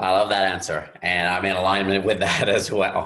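A man with an American accent and a fairly low pitch, in audible room echo. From US South, Louisiana Gulf Coast. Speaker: podcast host. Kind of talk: interview.

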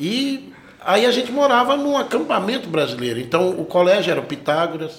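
Very wide pitch swings mark this man's high voice. Noticeable background noise sits behind him. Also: moderate pace. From Brazil, raised in Franca, São Paulo interior (born Goiânia). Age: 40s. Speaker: guitarist and music teacher. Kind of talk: casual interview chat.

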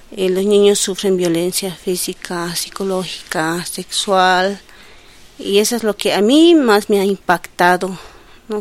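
A woman's medium-pitched voice with fairly even intonation, at a very slow pace. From Bolivia, El Alto. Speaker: social worker with children. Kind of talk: interview.

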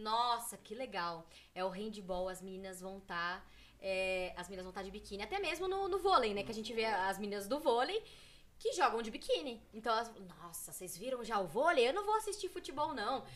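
Using a plain, everyday voice, a woman talks at a fairly quick pace with a fairly high pitch, lively intonation and big swings in loudness. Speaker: women's football player. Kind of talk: casual chat.

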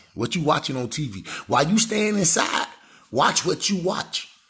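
A man talks at a fairly quick clip in an animated tone, his bright, sharp voice swinging very widely in pitch with touches of vocal fry. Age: 30s. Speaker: podcast host. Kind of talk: casual monologue.

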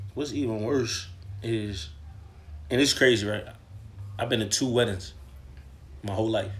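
A man's somewhat breathy voice with long, frequent pauses. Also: medium pitch for a man, ordinary pitch variation, moderate pace. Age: 20s. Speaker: podcast guest. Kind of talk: casual chat.

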